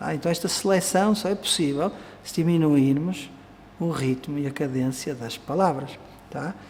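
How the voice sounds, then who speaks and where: Audible room echo surrounds a man speaking at a fairly high pitch in a European Portuguese accent. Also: ordinary pitch variation, moderate pace. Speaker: Vedanta teacher. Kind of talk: lecture.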